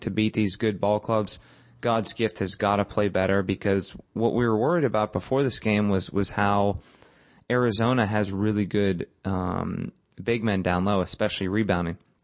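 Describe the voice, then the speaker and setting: This is a normal speaking voice from a man at a moderate pace. His pitch is fairly low and his intonation fairly even. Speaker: podcast host. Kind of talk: casual sports podcast chat.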